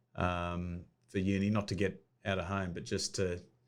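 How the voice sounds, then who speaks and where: A man with a very deep, low pitch talks at a fairly slow pace with fairly even intonation in a very clean recording with a silent background. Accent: Australian. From Australia, Sydney Northern Beaches. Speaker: sports administrator. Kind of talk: interview.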